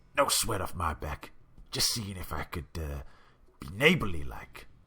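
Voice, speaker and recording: A man uses a raspy, put-on character voice with very deep, low pitch and very wide pitch swings. He keeps a moderate pace while his loudness swings widely. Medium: game stream. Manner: furtive, wheedling.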